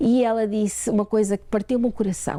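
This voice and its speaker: A woman is speaking. Her tone is dark and mellow. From Portugal, raised in Ontario, Canada. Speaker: author and church women's ministry leader. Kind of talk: interview. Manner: halting.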